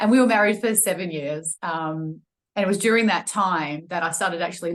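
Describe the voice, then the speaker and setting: Speaking in an Australian accent, a woman uses a medium pitch and ordinary pitch variation at a fairly quick pace. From Australia, Melbourne. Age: 40s. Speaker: personal trainer and wellness coach. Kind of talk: podcast interview, personal testimony. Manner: hesitant, many fillers.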